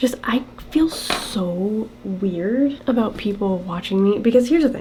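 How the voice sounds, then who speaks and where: A woman's fairly high, lively voice at a fairly slow pace amid noticeable background noise. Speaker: beauty and costume vlogger. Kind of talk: casual vlog talk while doing makeup.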